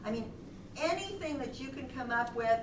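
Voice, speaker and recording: Amid noticeable background noise and audible room echo, a woman with an American accent speaks at a fairly quick pace with ordinary pitch variation. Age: 60s. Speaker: charity founder. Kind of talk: Q&A after presentation. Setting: presentation to a group.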